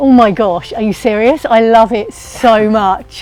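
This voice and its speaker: A woman's voice over background music. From New Zealand. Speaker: poet and writer. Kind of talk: interview answer.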